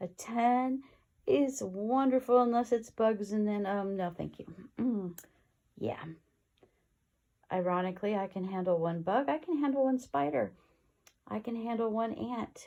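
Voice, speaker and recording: A woman with a fairly high pitch and a dark, mellow tone speaks at a fairly slow pace. Her intonation is lively, broken by long, frequent pauses. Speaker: lifestyle vlogger. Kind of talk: casual vlog talk. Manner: hesitant, filler words.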